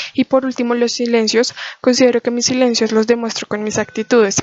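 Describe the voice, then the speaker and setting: Her pitch is high and she moves at a fairly quick pace. The woman's intonation stays monotone and flat. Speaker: student. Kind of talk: class presentation. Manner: fast; soft-spoken.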